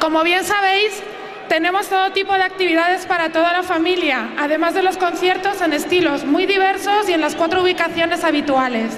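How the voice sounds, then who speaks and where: Noticeable background noise sits under a woman's extremely high-pitched voice, which moves at a moderate pace with fairly even intonation. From Spain. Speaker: town councillor for festivities. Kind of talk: public speech from a town hall balcony. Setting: outdoors, PA system. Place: street. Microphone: podium.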